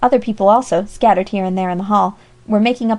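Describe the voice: This is plain reading aloud. Nothing more is heard in the delivery.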